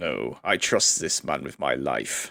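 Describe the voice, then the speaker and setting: In a raspy, put-on character voice, a man delivers his lines fairly slowly. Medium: actual play. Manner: formal, brusque.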